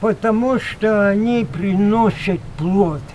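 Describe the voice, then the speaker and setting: A man speaks at a very slow pace with a high pitch and ordinary pitch variation. Light background noise can be heard. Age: 80s+. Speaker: village farmer, horse and bee keeper. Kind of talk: interview answer. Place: farm machine.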